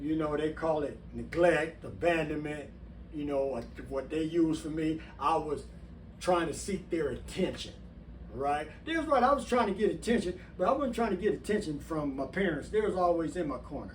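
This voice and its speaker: At a fairly high pitch, a man speaks at a moderate pace with ordinary pitch variation and audible room echo. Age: 60s. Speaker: former prisoner and channel host. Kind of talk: personal testimony to camera. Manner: casual, conversational.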